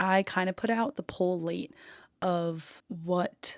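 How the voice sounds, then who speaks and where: Soft-spoken, a woman talks at a medium pitch. The recording is very clean and dry, close, and echo-free, with a silent background. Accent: American. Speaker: podcast host. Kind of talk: casual chat. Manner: calm.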